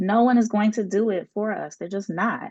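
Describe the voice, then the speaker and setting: A woman's voice comes through with a dry, close sound and no echo. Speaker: scholar and panelist. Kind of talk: panel discussion. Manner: slow.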